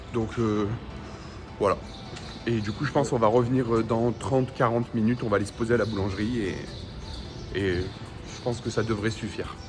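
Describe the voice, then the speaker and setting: A man of medium pitch speaks at a fairly quick pace, yet with long, frequent pauses. Music plays in the background, and room echo is audible. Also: fairly even intonation. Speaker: Pokémon card reseller vlogger. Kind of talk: vlog.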